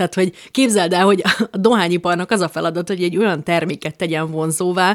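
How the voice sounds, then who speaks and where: A woman with a normal speaking voice talks at a fairly quick pace and a fairly low pitch. Her pitch varies in an ordinary way, and the sound is dry and close with no echo. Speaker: podcast co-host. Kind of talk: casual chat. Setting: living room.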